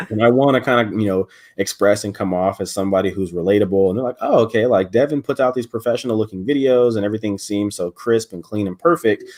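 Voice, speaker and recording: A man's fairly low voice at a very fast pace with hardly any pauses and ordinary pitch variation, dry and close with no echo, in a very clean recording with a silent background. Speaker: content creator and college student. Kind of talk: casual chat. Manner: occasional stutter.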